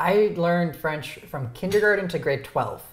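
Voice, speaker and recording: A man with a high pitch and a Canadian accent speaks at a fairly slow pace. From Ontario, Canada. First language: Romanian. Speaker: YouTuber, interview show host. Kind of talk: casual chat. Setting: dinner at home.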